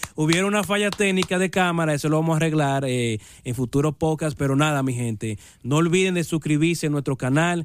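The speaker sounds animated, moving at a fairly quick pace with ordinary pitch variation. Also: man, fairly high pitch for a man. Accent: Dominican. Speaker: YouTuber podcast host. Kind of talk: casual chat.

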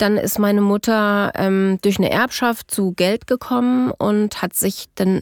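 Speaking at a very slow pace, a woman keeps a medium pitch and fairly even intonation in a very clean recording with a silent background and a dry, close sound with no echo. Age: 40s. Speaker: adult survivor of childhood parental abduction. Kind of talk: personal testimony interview. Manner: halting, many filler sounds.

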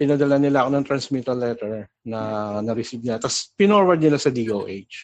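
A plain, everyday voice, a man's at medium pitch speaks at a fairly quick pace with ordinary pitch variation. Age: 40s. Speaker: caller. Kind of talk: phone-in question.

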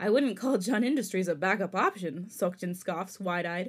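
The speech moves at a fairly quick pace with lively intonation. The recording is very clean, with a silent background. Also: woman. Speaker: podcast co-host. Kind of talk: reading fanfiction aloud; casual chat. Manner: trips over words when reading.

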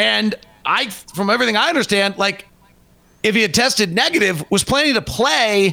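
A man with a high pitch uses a raised, projected voice with very even loudness, lively intonation and a moderate pace, broken by long, frequent pauses. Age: 40s. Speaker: basketball radio play-by-play announcer. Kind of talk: casual chat. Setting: video call.

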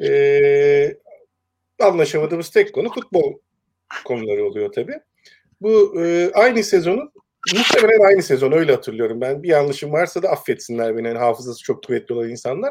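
The speaker moves at a fairly quick pace, with very wide pitch swings. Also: man, high pitch for a man. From Turkey, Eskişehir. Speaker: sports columnist and music industry worker. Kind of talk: casual chat. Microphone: bad internet connection, voice keeps cutting out.

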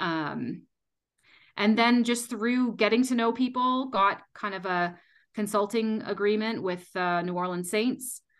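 In a Canadian accent, a plain, everyday voice speaks at a fairly slow pace with ordinary pitch variation. The background is quiet. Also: woman, fairly high pitch for a woman. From Canada. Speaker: sports dietitian. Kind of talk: interview.

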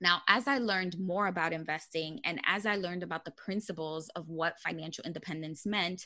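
A woman speaks with a New York accent at a moderate pace. Her voice is fairly low in pitch, with a bright, sharp tone. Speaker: personal finance blogger. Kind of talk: podcast interview.

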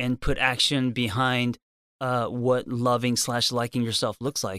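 Speaking at a fairly slow pace with an American accent, a man's medium-pitched voice comes through in a very clean recording with a silent background and a dry, close sound with no echo. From Los Angeles, US West Coast. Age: 40s. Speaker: therapist and author. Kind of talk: podcast interview. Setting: studio. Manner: halting, many fillers.

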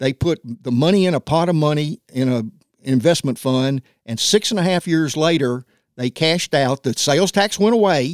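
In a Tennessee accent, a man speaks with lively intonation and a fairly high pitch, the sound dry and close with no echo. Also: moderate pace, very clean recording, silent background. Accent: Southern US (Tennessee). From US South, Nashville, Tennessee. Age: 70s. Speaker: former city council member. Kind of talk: casual interview. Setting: studio.

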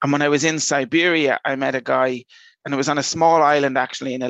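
Recorded dry and close with no echo and a quiet background, a man with an Irish accent speaks in a fairly high pitch with monotone, flat intonation. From Ireland, Dublin. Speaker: airport innovation manager. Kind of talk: interview.

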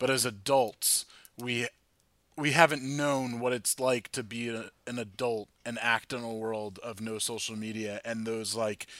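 The voice has an American accent and a bright, sharp tone, with fairly even intonation at a fairly slow pace. The recording is very clean, with a silent background. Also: man. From New Jersey, New York suburbs. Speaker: podcast host. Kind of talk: casual chat. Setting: basement bar.

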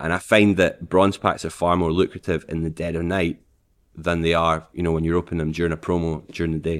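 A man with a Scottish accent speaks in a very deep, low voice and a flat monotone, recorded very cleanly against a silent background. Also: fairly quick pace. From Scotland, Falkirk. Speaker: streamer. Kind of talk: casual chat.

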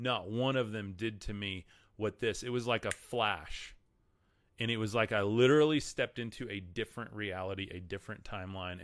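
At a fairly quick pace, a man speaks with a Texan accent. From Texas. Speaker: podcast host and faith content creator. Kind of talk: live-streamed religious talk with chat reading. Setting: livestream. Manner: casual, filler-heavy.

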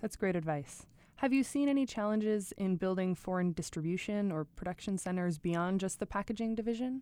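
A woman talks at a fairly quick pace with a dark, mellow tone at medium pitch and ordinary pitch variation. Her loudness stays very even on a very clean recording with a silent background. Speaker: podcast host. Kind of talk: scripted intro then interview.

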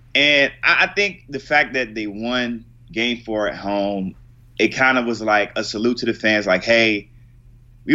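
With an American accent, a man speaks in a plain, everyday voice at a medium pitch, his pitch varying in an ordinary way. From Virginia, US. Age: 20s. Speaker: sports video producer. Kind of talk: casual chat.

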